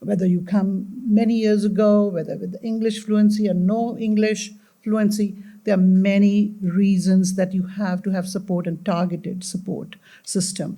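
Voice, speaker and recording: A woman's somewhat breathy voice, dark and mellow in tone, with monotone, flat intonation at a moderate pace. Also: medium pitch for a woman. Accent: slight Indian. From India. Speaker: community panelist. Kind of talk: panel discussion.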